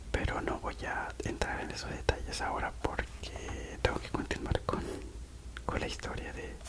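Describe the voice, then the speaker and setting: A man's whispering at a fairly slow pace, with big swings in loudness over noticeable background noise. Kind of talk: ASMR personal storytelling while coloring. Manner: whispered; soft-spoken, relaxing.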